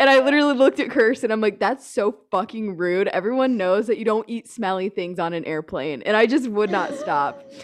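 A woman with an American accent speaks at a fairly high pitch with lively intonation over noticeable background noise. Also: fairly quick pace. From United States. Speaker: podcast co-host. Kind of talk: casual chat. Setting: at home, dining table. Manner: animated.

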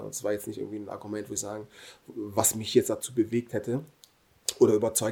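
Very fast and somewhat breathy, a man delivers his lines in a flat monotone with a dark, mellow tone. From Germany. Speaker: professional footballer. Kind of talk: casual interview.

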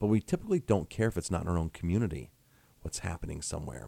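A man's very deep, low voice in an American accent, dark and mellow with vocal fry, lively intonation and a very fast pace. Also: dry, close sound with no echo. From Ellenville area, New York (Hudson Valley). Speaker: restaurant owner and author. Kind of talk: radio interview. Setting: radio studio.

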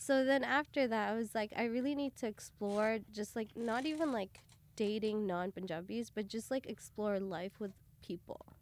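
This is a woman with a fairly high pitch and an ordinary speaking voice. She talks at a moderate pace with ordinary pitch variation. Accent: Canadian. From Canada, outside Toronto. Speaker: artist. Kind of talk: casual chat.

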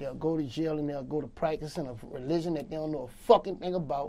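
At a fairly quick pace, a man speaks with a fairly high pitch, a dark, mellow tone, and ordinary pitch variation. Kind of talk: street interview, casual talk. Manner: casual, streetwise, repetitive.

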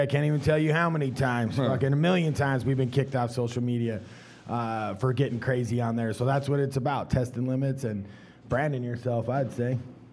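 The pace is very fast. A man talks at a medium pitch. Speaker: stand-up comedian. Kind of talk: panel discussion. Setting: stage with audience. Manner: animated.

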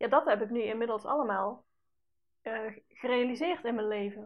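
A woman speaks with fairly high pitch. Her intonation stays fairly even. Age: 30s. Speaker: podcast host and personal development coach. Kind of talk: solo podcast monologue. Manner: casual, with many fillers.

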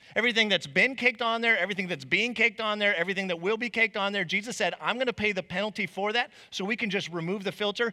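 A man's raised, projected voice, high-pitched and bright and sharp, with an American accent, at a very fast pace. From Arizona, Chandler/Mesa area. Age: 30s. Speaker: preacher. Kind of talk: sermon. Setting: church stage with congregation.

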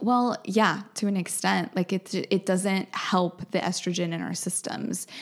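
A woman at medium pitch with an American accent, vocal fry, fairly even intonation, a fairly slow pace and hardly any pauses. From New Brunswick, Canada, then Wisconsin from age ten. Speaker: holistic skincare practitioner. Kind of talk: casual interview.

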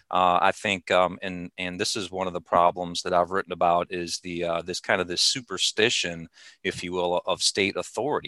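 A man speaks at a moderate pace in a very deep, low pitch with a bright, sharp tone and monotone, flat intonation. The sound is dry and close with no echo, the background is quiet, and there are hardly any pauses. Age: 40s. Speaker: libertarian writer. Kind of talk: interview. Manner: halting.

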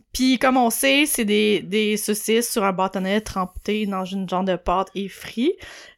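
On a very clean recording with a silent background, a woman speaks with a Quebec accent. Her pace is very slow. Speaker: podcast co-host. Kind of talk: casual chat.

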